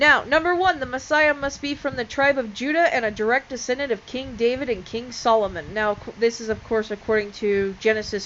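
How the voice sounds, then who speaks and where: Lively intonation marks this voice, which moves at a moderate pace. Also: woman. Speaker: religion video creator. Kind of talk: casual explainer video. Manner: loud; hesitant, many fillers.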